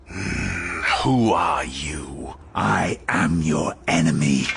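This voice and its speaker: Putting on a character voice, a man growls at a very slow pace in a very deep, low pitch with lively intonation, with clear background noise behind him. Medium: read story. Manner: cold, taunting.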